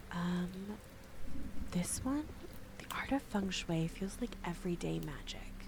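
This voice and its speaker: Soft-spoken, fairly slow speech with long, frequent pauses over noticeable background noise. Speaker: VTuber streamer. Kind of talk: soft-spoken ASMR gameplay stream.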